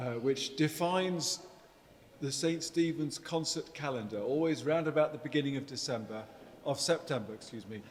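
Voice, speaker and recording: A man with a fairly high voice talks at a moderate pace while noticeable background noise plays. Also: ordinary pitch variation. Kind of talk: event host introduction.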